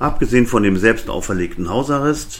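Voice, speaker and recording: A man at a fairly slow pace. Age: 60s. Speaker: podcaster, retired web publisher. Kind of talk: solo monologue podcast.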